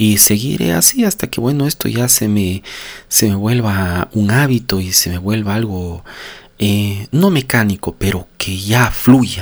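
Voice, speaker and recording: Ordinary pitch variation marks speech that proceeds at a fairly slow pace. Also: man, fairly low pitch for a man. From Ecuador, Cuenca. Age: 40s. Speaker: podcaster on personal growth. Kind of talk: motivational monologue. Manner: unscripted, with frequent hesitations.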